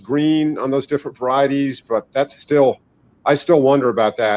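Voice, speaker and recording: A man with a plain, everyday voice, fairly high pitch, fairly even intonation and a fairly quick pace. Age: 60s. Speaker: herbalist and ginseng grower. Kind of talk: interview. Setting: live online interview.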